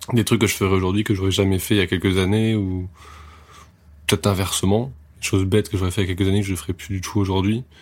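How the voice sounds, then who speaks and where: A man with a very deep, low pitch speaks in a flat monotone at a very fast pace, broken by long, frequent pauses. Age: 20s. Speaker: music photographer. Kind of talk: casual interview chat. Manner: hesitant, repeats words.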